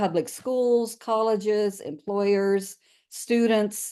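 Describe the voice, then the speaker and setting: The woman's tone is dark and mellow, and she speaks at a fairly slow pace. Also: quiet background. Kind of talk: webinar presentation.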